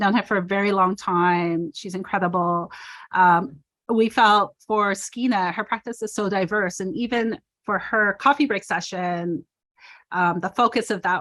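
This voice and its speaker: A woman talks at a fairly slow pace in medium pitch with ordinary pitch variation. She has an ordinary speaking voice. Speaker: performance artist. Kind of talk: panel talk over video call.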